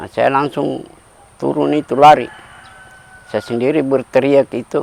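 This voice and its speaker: A man talks at a moderate pace while noticeable background noise fills the recording. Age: 70s. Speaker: farmer, tsunami survivor. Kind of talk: interview testimony.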